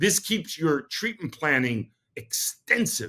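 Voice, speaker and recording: In a New York accent, a man with a bright, sharp tone speaks at a moderate pace, his pitch swinging very widely. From New York City. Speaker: dentist and podcast host. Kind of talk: podcast monologue.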